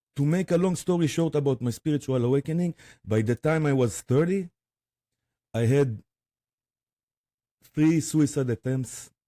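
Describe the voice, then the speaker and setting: In an Israeli accent, a man with a fairly high pitch and a dark, mellow tone leaves long, frequent pauses, the sound dry and close with no echo. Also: ordinary pitch variation, moderate pace. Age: 40s. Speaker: spiritual guide and drummer. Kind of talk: interview testimony. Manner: halting, many fillers.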